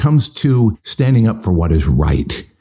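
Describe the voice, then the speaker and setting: A man's fairly low pitch makes very wide swings in a dark, mellow, somewhat breathy tone. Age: 60s. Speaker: pastor. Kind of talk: podcast sermon. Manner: conversational.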